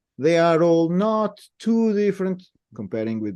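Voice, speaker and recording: Speaking fairly slowly in a European Portuguese accent, a man with a dark, mellow tone lets his pitch swing very widely. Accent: continental Portuguese. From Portugal, Lisbon area (Cascais). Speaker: native speaker helping with pronunciation. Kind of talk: casual interview. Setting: video call.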